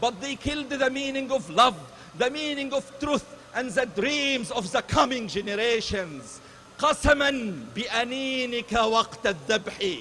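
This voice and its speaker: In an Arabic accent, a man uses a raised, projected voice at an extremely high pitch and a very slow pace, with noticeable background noise. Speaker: rally speaker. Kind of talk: rally speech. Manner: impassioned.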